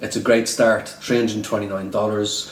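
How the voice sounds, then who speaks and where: In an Irish accent, a man talks at a fairly low pitch with monotone, flat intonation. The recording has audible room echo and noticeable background noise. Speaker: day trader and trading educator. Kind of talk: casual vlog commentary. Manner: repetitive, filler-heavy.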